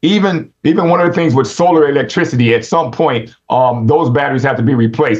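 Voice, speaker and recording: Somewhat breathy delivery, lively intonation and a fairly quick pace. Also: man. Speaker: Adventist speaker on rural living. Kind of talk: instructional talk. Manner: fast; halting, many fillers.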